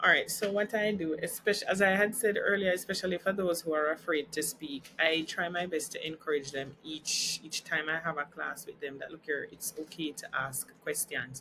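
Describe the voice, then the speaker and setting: A fairly low-pitched woman with hardly any pauses. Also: ordinary pitch variation, moderate pace. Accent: Jamaican. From Jamaica. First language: Jamaican Creole. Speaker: teacher. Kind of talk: interview.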